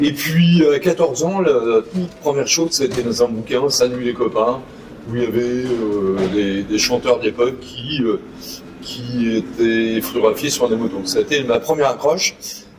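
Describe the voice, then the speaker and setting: Noticeable background noise sits behind a man speaking at a fairly slow pace. His pitch is medium, with ordinary pitch variation. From Normandy, France. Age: 60s. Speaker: motorcycle dealer and former racer. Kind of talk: interview.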